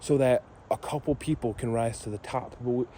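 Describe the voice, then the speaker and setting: A man speaks with a dark, mellow tone and a somewhat breathy sound. He keeps a moderate pace. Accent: American. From northern Michigan (Gaylord). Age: 20s. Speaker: vlogger. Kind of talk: casual monologue. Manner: rambling, halting with fillers.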